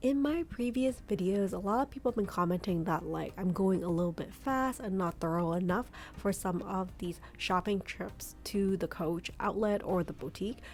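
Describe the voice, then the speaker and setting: Music plays in the background as a woman speaks. Her pace is moderate, with hardly any pauses. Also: medium pitch for a woman, ordinary pitch variation. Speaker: shopping vlogger. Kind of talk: shopping vlog narration. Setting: in a store. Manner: casual, filler-heavy.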